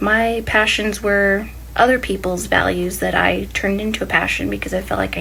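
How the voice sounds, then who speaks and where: Noticeable background noise and audible room echo around a woman's speech. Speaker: self-help podcaster. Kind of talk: casual motivational monologue. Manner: fast; animated.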